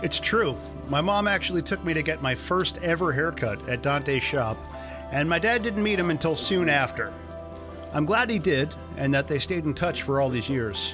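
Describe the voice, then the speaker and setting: A man with a fairly high voice speaks with lively intonation at a very even loudness, with music playing in the background. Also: moderate pace. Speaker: video host and home gardener. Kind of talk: documentary voice-over narration.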